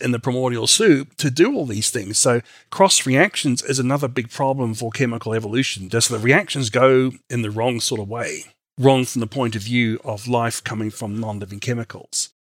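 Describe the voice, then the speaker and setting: A man with an Australian accent speaks at a medium pitch with ordinary pitch variation in a very clean recording with a silent background. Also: moderate pace. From Australia and New Zealand. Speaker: creationist scientist, PhD chemist. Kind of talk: interview on science and faith. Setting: studio.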